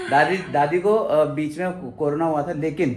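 Background noise is noticeable throughout. Over it, a male speaker keeps his intonation fairly even. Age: 20s. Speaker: vlogger. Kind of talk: casual vlog narration.

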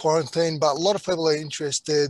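Against a quiet background with a dry sound and no echo, a man speaks at a moderate pace with fairly even intonation. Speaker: panel host. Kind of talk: webinar moderation. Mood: warm, welcoming. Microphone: video call.

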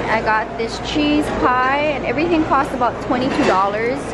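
A woman's voice over loud background noise. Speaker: travel vlogger. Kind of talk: casual vlog chat. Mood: excited, enthusiastic. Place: cafe. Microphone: phone near.

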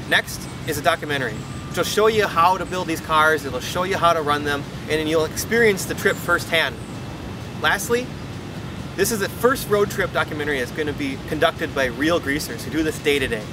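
Dry sound with no echo, noticeable background noise and a fairly quick pace. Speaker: presenter. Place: street.

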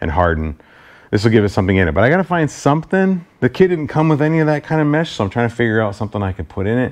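A man talks at a very fast pace. The background is quiet. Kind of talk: casual DIY tutorial chat. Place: garage.

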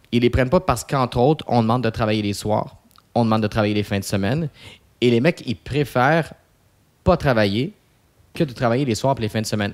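The background stays quiet. A man speaks fairly quickly, his pitch varying in an ordinary way. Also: long, frequent pauses. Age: 30s. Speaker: posturologist; podcast guest. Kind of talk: casual interview. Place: studio. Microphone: studio mic.

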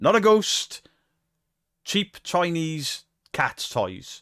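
A man speaks against a quiet background. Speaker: reaction streamer. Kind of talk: commentary. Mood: mocking, exasperated. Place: home room. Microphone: studio mic.

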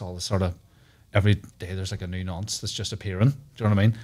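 A man with a Northern Irish accent talks at a very fast pace in a fairly low, somewhat breathy voice. His intonation stays fairly even. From Northern Ireland. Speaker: comedian. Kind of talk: casual chat. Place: studio. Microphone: studio mic.

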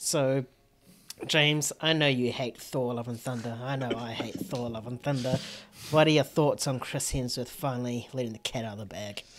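Words come at a moderate pace. They are spoken in a New Zealand accent. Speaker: film podcast host. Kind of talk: casual chat. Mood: opinionated, playful. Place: home room. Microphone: studio mic.

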